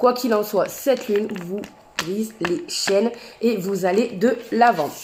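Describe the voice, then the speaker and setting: A woman speaks at a fairly high pitch with ordinary pitch variation. Noticeable background noise can be heard. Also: fairly slow pace. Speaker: tarot and oracle card reader. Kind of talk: astrology card reading to camera.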